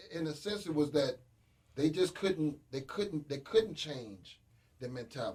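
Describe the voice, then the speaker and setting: Somewhat breathy, a man speaks at a fairly high pitch and a moderate pace, his intonation lively. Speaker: radio panel guest. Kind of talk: casual radio discussion. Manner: animated.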